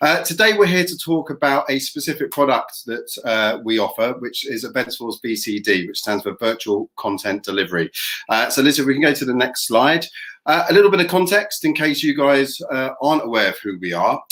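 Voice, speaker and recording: Fairly high-pitched man at a fairly quick pace, very wide pitch swings, quiet background. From England. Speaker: tech company representative; presenter. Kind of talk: product presentation. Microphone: webcam.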